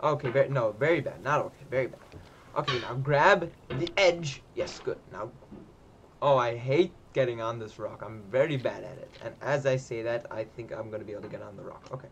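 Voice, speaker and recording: A man's medium-pitched voice, fairly quick in pace, with ordinary pitch variation. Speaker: gaming streamer. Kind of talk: live gameplay commentary. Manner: animated.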